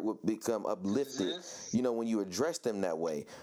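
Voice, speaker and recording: A man speaks in a normal speaking voice at a medium pitch. His intonation is lively and his pace fairly quick. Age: 30s. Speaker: podcast host. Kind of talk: interview.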